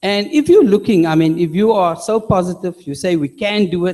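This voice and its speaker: A man's high-pitched voice with a dark, mellow tone at a moderate pace. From South Africa. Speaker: audience member. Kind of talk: audience question. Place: hall.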